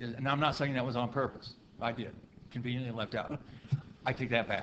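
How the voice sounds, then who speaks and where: A man with an American accent speaks at a fairly quick pace, his medium-pitched voice monotone and flat. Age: 60s. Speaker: county council member. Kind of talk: public meeting debate. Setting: council meeting.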